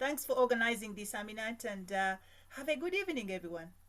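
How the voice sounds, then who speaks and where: A woman talks in a normal speaking voice. Her pitch is fairly high and varies in an ordinary way. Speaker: club member. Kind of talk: thank-you remarks.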